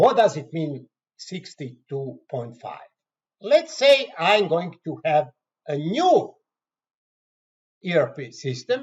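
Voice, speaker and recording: Speech in a Croatian accent comes at a very slow pace. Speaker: software trainer. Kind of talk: tutorial. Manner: halting.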